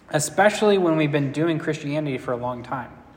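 A man talks at a moderate pace with a fairly high pitch and ordinary pitch variation. Audible room echo and noticeable background noise fill the recording. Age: 20s. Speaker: pastor. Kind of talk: sermon.

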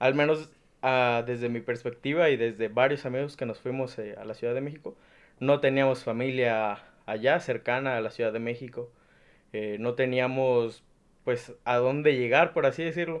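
A man's medium-pitched voice at a moderate pace. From Mexico, Nayarit. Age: 20s. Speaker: university student. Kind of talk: casual chat.

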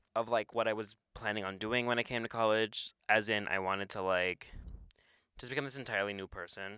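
Speaking at a fairly quick pace, a man uses a fairly low pitch and a bright, sharp tone with fairly even intonation. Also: dry, close sound with no echo. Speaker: podcast co-host, college student. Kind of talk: casual chat.

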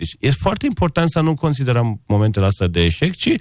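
A fairly quick pace, very wide pitch swings and a non-native accent. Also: man, very clean recording, silent background. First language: not Romanian (speaking Romanian). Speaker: architect and interior designer. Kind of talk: radio interview.

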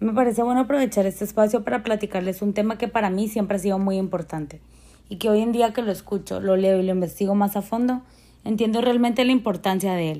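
Very fast speech comes from a woman with a dark, mellow tone. Her pitch is medium, with ordinary pitch variation. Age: 20s. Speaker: fashion image design graduate. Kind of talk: prepared talk.

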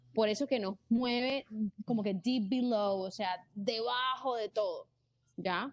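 The woman's voice is fairly high in pitch. She talks at a very slow pace. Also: ordinary pitch variation. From Colombia, Barranquilla (Caribbean coast). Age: 20s. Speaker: content creator and entrepreneur. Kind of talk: casual interview chat.

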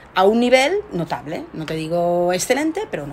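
Through noticeable background noise, a woman speaks fairly slowly in a fairly low voice. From Spain, Barcelona. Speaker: research scientist. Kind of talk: interview.

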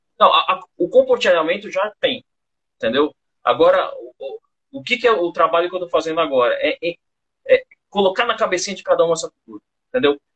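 Talking at a fairly quick pace, a man leaves long, frequent pauses and swings widely in loudness. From São Paulo, Brazil. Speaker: bar owner. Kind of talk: casual interview. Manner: halting.

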